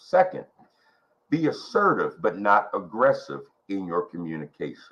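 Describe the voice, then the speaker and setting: A man talks quietly at a moderate pace. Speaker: ministry workshop teacher. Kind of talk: leadership workshop teaching. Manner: quiet, measured delivery.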